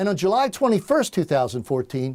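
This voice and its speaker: On a very clean recording with a silent background, a man speaks at a high pitch with very wide pitch swings. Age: 60s. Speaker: political candidate. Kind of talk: campaign speech. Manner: formal.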